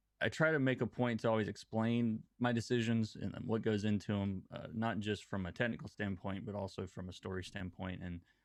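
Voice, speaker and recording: A man speaks at a fairly quick pace and fairly low pitch, with hardly any pauses. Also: ordinary pitch variation. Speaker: comic book colorist and YouTuber. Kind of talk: casual interview chat. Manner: calm, level, low-key; halting, many fillers and repeats.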